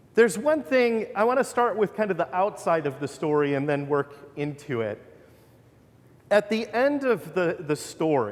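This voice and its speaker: A man talks loudly, his voice making very wide pitch swings. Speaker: pastor. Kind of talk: sermon. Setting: church.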